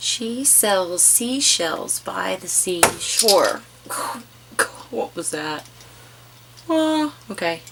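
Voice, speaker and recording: Against noticeable background noise, a woman talks very slowly at a fairly high pitch, with very wide pitch swings and long, frequent pauses. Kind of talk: ASMR soft-spoken soapmaking demonstration. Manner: gentle, soft-spoken.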